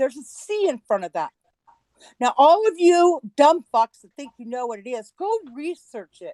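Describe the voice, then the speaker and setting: A woman speaks at a moderate pace in a high voice with a dark, mellow tone. Her pitch swings very widely and her loudness rises and falls a lot. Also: dry, close sound with no echo. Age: 60s. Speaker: livestream broadcaster. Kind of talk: heated rant on livestream.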